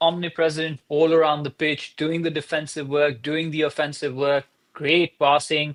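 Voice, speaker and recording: Dry and close with no echo, a man's fairly high voice with a non-native accent moves at a moderate pace in a monotone, flat intonation. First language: not English. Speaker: soccer podcast co-host. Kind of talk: casual chat.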